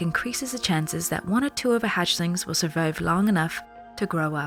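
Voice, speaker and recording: A soft-spoken woman talks at a fairly quick pace with lively intonation. Music plays in the background. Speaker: voice actor. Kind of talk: soft ASMR book reading aloud. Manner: soft-spoken, quiet, relaxing.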